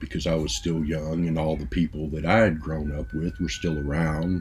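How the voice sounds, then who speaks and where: The talking moves at a moderate pace over noticeable background noise. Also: man. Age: 60s. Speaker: music vlogger. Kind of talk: casual monologue. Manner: halting, many fillers.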